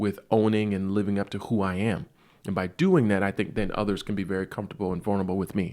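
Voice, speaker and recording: Very fast speech comes through in a very clean recording with a silent background. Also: man. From US South, South Carolina. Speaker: physician, OB-GYN. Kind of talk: podcast monologue. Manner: casual, conversational.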